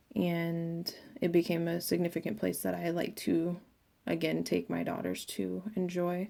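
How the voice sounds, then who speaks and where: A woman at a fairly slow pace, in a very clean recording with a silent background. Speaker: student presenting a class project. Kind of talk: class presentation. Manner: loud; hesitant with fillers.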